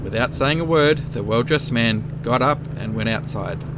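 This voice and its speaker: Over noticeable background noise, a man with an Australian accent speaks at a moderate pace with a fairly high pitch. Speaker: motorcycle rider, DIY channel host. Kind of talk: casual joke telling to camera while riding. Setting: outdoors, on a motorcycle.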